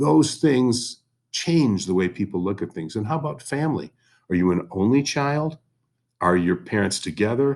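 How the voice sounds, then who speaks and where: A man with a fairly low pitch talks at a moderate pace, his pitch swinging very widely, in a very clean recording with a silent background. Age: 60s. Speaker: history teacher. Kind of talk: recorded class lesson. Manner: conversational.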